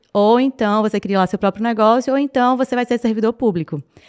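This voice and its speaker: A woman with a Paraíba accent speaks at a moderate pace and a fairly high pitch with ordinary pitch variation. The sound is dry and close with no echo, on a very clean recording with a silent background. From Northeast Brazil, Paraíba (João Pessoa). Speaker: entrepreneur. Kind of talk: podcast interview.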